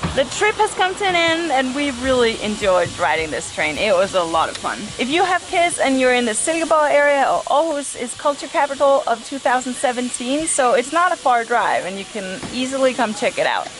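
Over faint background music, a woman with a high pitch speaks at a fairly quick pace, with hardly any pauses. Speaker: family vlogger. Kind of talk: casual vlog chat. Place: station. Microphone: phone near.

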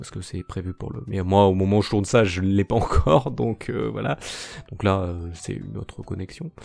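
Very deep and low, a man's voice moves at a moderate pace with lively intonation and big swings in loudness, on a very clean recording with a silent background. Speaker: YouTuber and amateur artist. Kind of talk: channel announcement monologue. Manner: halting, stammering; unscripted, many fillers.

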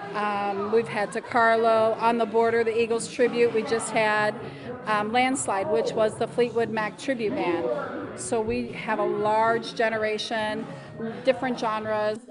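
Loud background noise fills the recording. A woman speaks at a fairly slow pace. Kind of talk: interview answer. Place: bar. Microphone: handheld.

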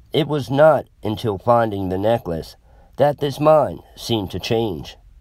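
On a very clean recording with a silent background, a man with a normal speaking voice talks at a fairly slow pace and medium pitch. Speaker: horror story narrator. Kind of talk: horror narration, creepypasta read aloud in a tense first-person voice. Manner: suspenseful, hushed and slow, building dread, pausing on short lines.

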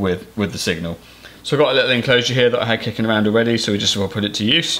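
Very fast pace with fairly even intonation. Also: man. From Cornwall, England. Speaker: farmer and YouTuber. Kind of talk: tutorial. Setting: farm workshop. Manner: casual, hesitant with fillers. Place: workshop.

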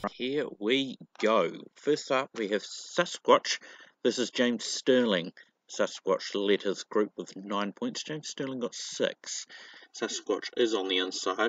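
A quiet man speaking at a very slow pace. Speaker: diecast racing commentator. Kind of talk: live commentary. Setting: outdoors. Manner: kept quiet, subdued volume; animated.

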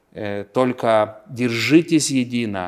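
This man has a Lithuanian accent. His pitch sits in the medium range. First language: Lithuanian (speaking Russian). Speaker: politician. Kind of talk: interview; interview answer. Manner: halting. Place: office. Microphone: lapel.

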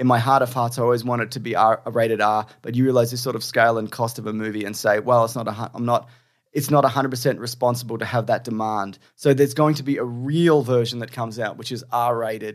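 A man with an Australian accent talks very fast at a medium pitch, flat and monotone, with hardly any pauses. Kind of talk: casual chat; reading aloud.

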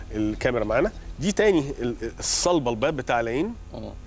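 A man speaks in an ordinary speaking voice at a fairly quick pace. His intonation is lively. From Egypt. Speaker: eye surgeon; guest. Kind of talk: TV interview. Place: studio. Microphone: lapel.

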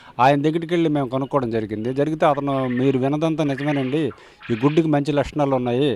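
Fairly high in pitch, a man speaks with fairly even intonation. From Vizianagaram district, north coastal Andhra Pradesh. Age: 60s. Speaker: quail farmer. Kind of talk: interview testimony. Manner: halting.

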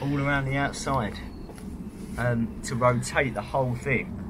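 Amid noticeable background noise, a man speaks at a fairly slow pace with fairly even intonation. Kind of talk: casual vlog commentary. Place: forest. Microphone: phone near.

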